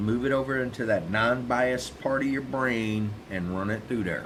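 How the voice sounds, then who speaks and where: Audible room echo follows a man speaking with an American accent. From South Texas. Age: old. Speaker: vlogger. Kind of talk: opinion monologue. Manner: casual, repetitive stammering.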